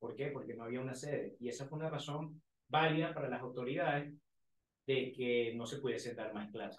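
The voice is somewhat breathy and moves at a fairly quick pace with fairly even intonation, and the room echo is audible. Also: man. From Venezuela. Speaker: university student leader; guest. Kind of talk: casual interview.

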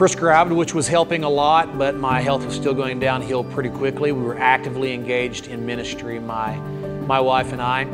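With clear music in the background, a man speaks at a moderate pace with hardly any pauses. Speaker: pastor telling his story. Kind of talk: interview answer. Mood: calm, reflective testimony. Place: church. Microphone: lapel.

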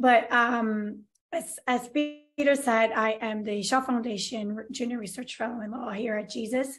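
Somewhat breathy, a woman speaks at a fairly slow pace with a fairly high pitch and fairly even intonation. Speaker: law researcher. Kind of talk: lecture. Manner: halting.

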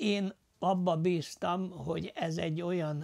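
The speaker talks at a very slow pace against a quiet background. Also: man. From Losonc, Upper Hungary (southern Slovakia); Upper Hungary. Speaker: war veteran, former prisoner of war; interviewee. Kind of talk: testimony interview. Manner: halting, many filler sounds. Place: home room. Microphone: lapel.

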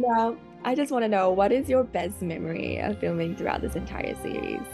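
Clear music plays in the background as a woman talks at a fairly quick pace. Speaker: interviewer. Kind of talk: interview questions. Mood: cheerful, giggly. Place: home room. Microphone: video call.

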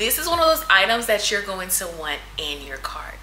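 Music plays in the background as a woman speaks at a moderate pace, with audible room echo. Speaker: fashion haul creator. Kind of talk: casual haul review. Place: home room.

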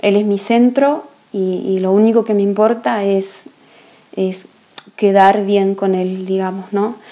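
At a very slow pace, a woman speaks with long, frequent pauses. Her pitch is medium and her intonation fairly even. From Argentina. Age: 30s. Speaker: woman giving her conversion testimony. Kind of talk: testimony. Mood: calm, earnest, reflective. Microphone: earbuds.

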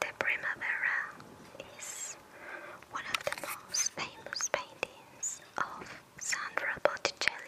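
Whispering at a very slow pace, the speaker is heard over noticeable background noise. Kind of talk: ASMR art narration. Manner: whispered, soft-spoken.

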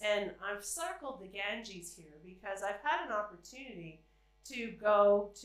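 Against strong room echo, a woman with a fairly bright tone speaks at medium pitch and a fairly slow pace with lively intonation.

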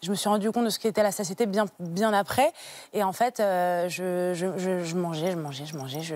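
A woman speaks at a moderate pace with ordinary pitch variation. The sound is dry, with no echo. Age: 20s. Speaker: guest sharing personal story of childhood obesity; TV guest. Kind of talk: testimony. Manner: halting with frequent hesitations. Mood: calm, personal, reflective. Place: studio. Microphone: lapel.

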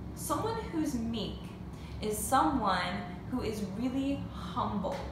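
A woman's voice amid audible room echo and noticeable background noise. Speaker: teacher. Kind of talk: lesson for children. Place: home room. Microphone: phone near.

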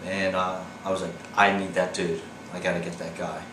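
A man speaks at a moderate pace in a very deep, low pitch. Noticeable background noise is present. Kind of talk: interview answer. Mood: wry, reflective. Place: home room.

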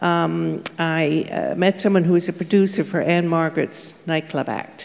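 At a very slow pace, a woman speaks with a fairly low pitch. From England, raised in Canada. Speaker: costume designer and author. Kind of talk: panel discussion, reminiscing. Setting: stage with live audience. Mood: reminiscing, relaxed. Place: stage. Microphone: handheld.

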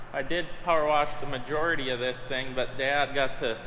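A man speaks with an American accent. Audible room echo and light background noise are present. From US Midwest (Minnesota). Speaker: farmer and video host. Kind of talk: casual vlog narration. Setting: farm shop, indoors. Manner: casual, jokey. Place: garage. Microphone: phone near.

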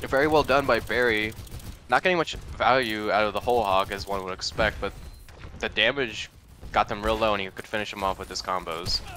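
Here is a plain, everyday voice at a fairly quick pace. Its pitch variation is ordinary. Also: man, fairly low pitch for a man. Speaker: esports co-caster. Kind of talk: live commentary.

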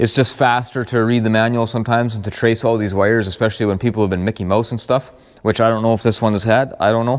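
The delivery is very fast, in a flat monotone. The background is quiet. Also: man. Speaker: tractor mechanic. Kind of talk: casual repair vlog explanation. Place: farm machine. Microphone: lapel.

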